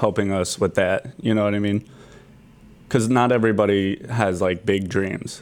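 Speaking at a moderate pace, a man keeps his intonation fairly even and his loudness very even. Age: 20s. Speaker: stuntman. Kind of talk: casual chat.

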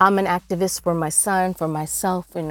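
Medium in pitch, a woman speaks at a fairly quick pace. The recording is dry and close with no echo. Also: very clean recording, silent background. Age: 50s. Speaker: online radio host. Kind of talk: casual chat. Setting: not in studio.

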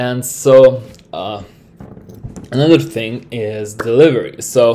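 Speaking with a Lithuanian accent, a man uses a medium pitch and a dark, mellow tone, with ordinary pitch variation at a very slow pace. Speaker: podcast host. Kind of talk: solo monologue. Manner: halting.

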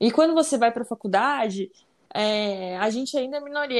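Very clean recording of a woman, silent background. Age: 20s. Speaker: engineering student. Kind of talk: casual chat.

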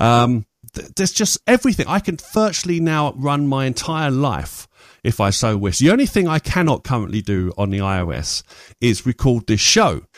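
Very wide pitch swings mark this man's medium-pitched voice, delivered at a moderate pace on a very clean recording with a silent background. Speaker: podcast host. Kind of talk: casual chat.

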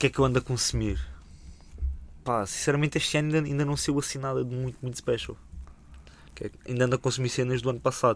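A man's medium-pitched voice at a very fast pace, broken by long, frequent pauses. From Portugal, Rebeleira (Amadora). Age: 20s. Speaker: hip hop podcaster and history teacher. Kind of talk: casual chat.

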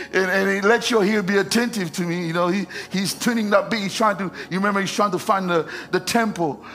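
A man with a Haitian accent talks very fast in a high pitch, with noticeable background noise behind him. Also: fairly even intonation. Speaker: pastor. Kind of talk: sermon. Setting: church.

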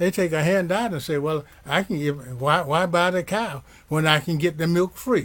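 On a very clean recording with a silent background, a man with a high pitch talks at a moderate pace with ordinary pitch variation. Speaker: minister leading a church broadcast. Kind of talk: sermon. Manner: halting.

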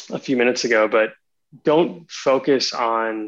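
A man's medium-pitched voice with a bright, sharp tone and an American accent. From Washington DC area, US. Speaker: head of sports at a social media platform. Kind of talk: interview.

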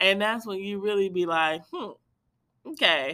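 Speaking in an animated tone, the voice carries a slight Southern US accent. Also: woman, very clean recording, silent background. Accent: slight Southern twang. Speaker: podcast host. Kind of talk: solo podcast talk, self-help teaching. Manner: animated, conversational.

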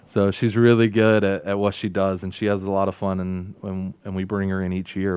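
With a North Carolina accent, a man speaks at a moderate pace. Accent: Southern US (North Carolina). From rural northeastern North Carolina. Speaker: golf program internship director. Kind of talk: interview. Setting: studio.

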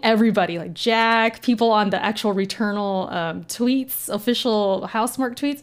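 Captured in a very clean recording with a silent background, an ordinary speaking voice moves at a moderate pace. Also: woman. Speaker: podcast host. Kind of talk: casual chat. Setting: live stream.

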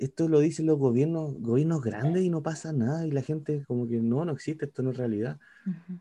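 A man with a Chilean accent speaks in a dark, mellow tone with lively intonation. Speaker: podcast co-host. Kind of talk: casual chat.

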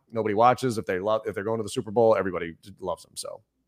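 A man with an American accent at a very fast pace. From Boston, US. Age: 40s. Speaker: sales trainer. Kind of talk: interview.

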